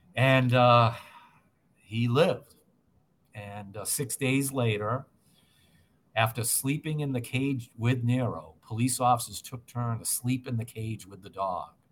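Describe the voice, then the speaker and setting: In a very clean recording with a silent background, a man with an American accent speaks fairly slowly at medium pitch, somewhat breathy, with big swings in loudness and long, frequent pauses. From Massachusetts. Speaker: state legislator, retired police officer. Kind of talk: interview.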